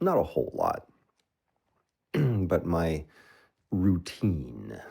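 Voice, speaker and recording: With a dark, mellow tone and vocal fry, a man speaks with lively intonation. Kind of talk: ASMR affirmation talk. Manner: casual, conversational.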